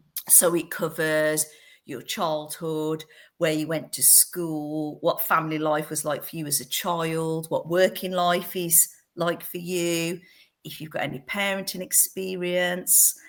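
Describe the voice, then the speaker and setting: A woman with an English Midlands accent talks at a fairly slow pace in a fairly low, monotone, flat voice. The recording is very clean, with a silent background. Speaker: fostering agency director. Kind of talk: podcast interview.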